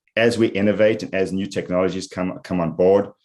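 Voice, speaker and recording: Speaking at a fairly quick pace, a man with a South African accent has a very deep, low pitch. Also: quiet background. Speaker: IT executive. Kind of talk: interview.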